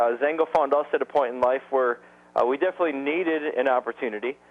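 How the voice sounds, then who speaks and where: Here a man speaks with an American accent at fairly high pitch. His pace is fairly quick and his intonation fairly even. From Wisconsin. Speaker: network marketing distributor. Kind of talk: sales presentation webinar. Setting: conference call webinar. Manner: fast.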